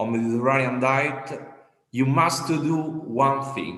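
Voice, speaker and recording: A man with an Italian accent speaks at a very slow pace, his pitch varying in an ordinary way, and the room echo is audible. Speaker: mayor. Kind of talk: panel discussion. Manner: halting.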